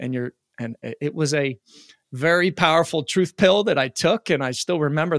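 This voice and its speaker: An ordinary speaking voice from a man at fairly high pitch with ordinary pitch variation and a fairly quick pace, on a very clean recording with a silent background. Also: dry, close sound with no echo. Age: 40s. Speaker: peak performance coach. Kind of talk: interview.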